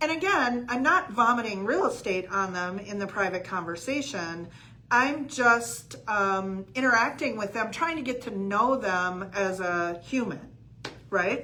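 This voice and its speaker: Bright and sharp in tone, the voice moves at a fairly slow pace with lively intonation and audible room echo. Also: woman, fairly high pitch for a woman. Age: 60s. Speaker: real estate coach. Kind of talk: livestream coaching talk. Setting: live video stream. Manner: casual with many fillers.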